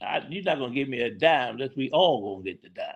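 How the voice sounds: A man talks at a fairly quick pace with lively intonation, vocal fry and a slightly husky edge.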